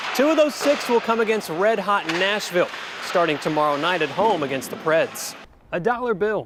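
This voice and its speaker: With an American accent and lively intonation, a man with a high voice speaks at a moderate pace over noticeable background noise. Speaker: sports reporter and anchor. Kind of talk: on-location sports standups to camera.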